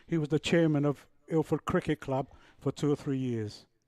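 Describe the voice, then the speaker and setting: A man speaks at a moderate pace in a dark, mellow tone with fairly even intonation, recorded very cleanly against a silent background with a dry, close sound and no echo. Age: 70s. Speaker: cricket commentator. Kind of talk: live commentary.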